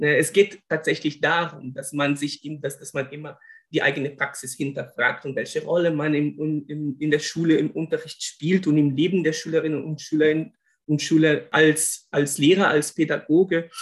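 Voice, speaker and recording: A man with a Brazilian accent and a fairly high pitch talks at a moderate pace with monotone, flat intonation. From Brazil, Rio de Janeiro. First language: Portuguese (speaking German). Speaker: linguist and former German teacher. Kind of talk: interview. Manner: halting, many repetitions and fillers.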